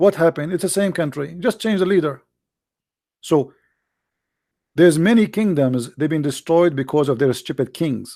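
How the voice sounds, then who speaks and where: A man's fairly high, dark and mellow voice at a moderate pace, with ordinary pitch variation, long frequent pauses, and a very clean, silent background. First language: Arabic. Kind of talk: live commentary. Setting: live stream. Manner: animated.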